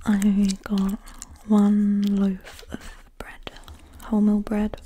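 A soft-spoken woman talks at a very slow pace in a relaxed tone, her medium-pitched voice flat and monotone. Light background noise sits under the recording. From UK. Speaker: ASMR creator. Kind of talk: ASMR receipt reading. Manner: soft-spoken, relaxed. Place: home room. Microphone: studio mic.

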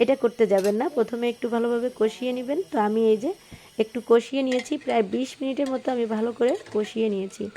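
A woman talks in a high pitch that varies in an ordinary way. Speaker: cooking vlogger. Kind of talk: cooking tutorial.

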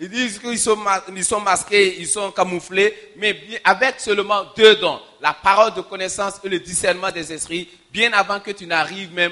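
A man's raised, projected voice at a moderate pace, with long, frequent pauses and a quiet background. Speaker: preacher. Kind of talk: sermon. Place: church. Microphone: handheld.

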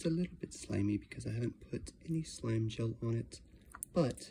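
A man whispers at a moderate pace. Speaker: slime and ASMR video creator. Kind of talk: ASMR slime demo to camera. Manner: soft-spoken, relaxing. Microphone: phone near.

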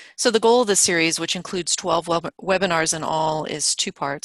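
An ordinary speaking voice from a woman, fairly low in pitch with ordinary variation, dry with no echo, over a quiet background. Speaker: webinar host. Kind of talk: webinar introduction. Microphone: video call.

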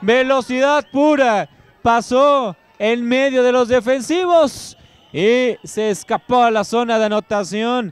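A man speaks at an extremely high pitch with ordinary pitch variation. His pace is very slow. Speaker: play-by-play commentator. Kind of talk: live sports commentary. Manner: clipped, breathless call of each play.

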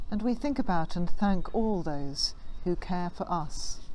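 A woman speaks in a dark, mellow tone. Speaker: church minister. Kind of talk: service welcome address. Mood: warm, calm. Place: garden. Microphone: phone near.

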